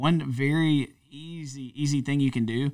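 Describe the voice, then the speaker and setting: An unremarkable speaking voice: a man with an American accent, medium pitch, and ordinary pitch variation, on a very clean recording with a silent background. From North Louisiana, US. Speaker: church pastor. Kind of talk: casual conversational podcast chat.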